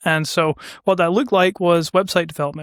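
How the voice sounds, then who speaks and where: A man with a Scottish accent is heard on a very clean recording with a silent background, the sound dry and close with no echo. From Scotland, west coast. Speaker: business owner, ad agency founder. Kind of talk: casual interview chat.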